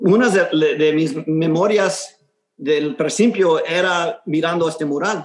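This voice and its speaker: A man's high-pitched voice at a very slow pace. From Houston, Texas. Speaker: muralist. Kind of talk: interview. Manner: halting, many repetitions.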